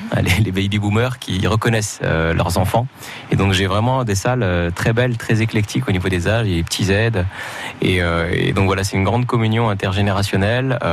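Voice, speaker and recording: Against noticeable background noise, a man speaks fairly quickly at a fairly low pitch, with fairly even intonation and very even loudness. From Morocco. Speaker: comedian. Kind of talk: radio interview.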